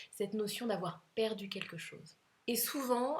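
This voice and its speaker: Ordinary pitch variation and a fairly slow pace, with noticeable noise in the background. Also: woman. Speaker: couples coach. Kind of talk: advice monologue to camera. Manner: hesitant fillers.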